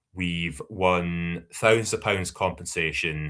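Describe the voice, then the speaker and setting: A man's very deep, low voice carries a bright, sharp tone. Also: very clean recording, silent background. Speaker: community union organiser. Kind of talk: podcast interview. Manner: hesitant, many fillers and repeats.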